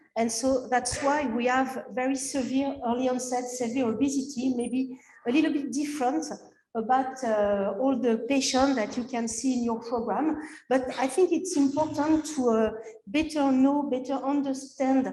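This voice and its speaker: In a French accent, a woman with a high pitch and a dark, mellow tone speaks at a moderate pace with fairly even intonation, with audible room echo around her. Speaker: physician and researcher. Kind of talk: conference presentation. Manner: halting, many fillers.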